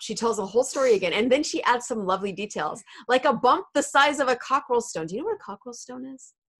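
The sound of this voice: A woman speaks fast with a fairly high pitch and ordinary pitch variation. Her tone is fairly bright, with a slightly husky edge.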